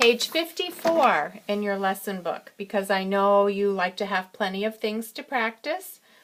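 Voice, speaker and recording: An ordinary speaking voice from a woman, medium in pitch, with lively intonation at a fairly slow pace, in a very clean recording with a silent background. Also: hardly any pauses. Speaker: piano teacher. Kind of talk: tutorial. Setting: self-recorded video on iPad.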